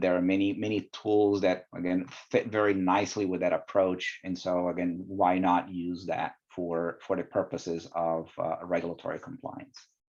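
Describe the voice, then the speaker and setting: Over a quiet background, a man with a non-native accent speaks in a very deep, low pitch with monotone, flat intonation. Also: moderate pace. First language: not English. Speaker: quality director in life sciences. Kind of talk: podcast interview. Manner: hesitant, many fillers.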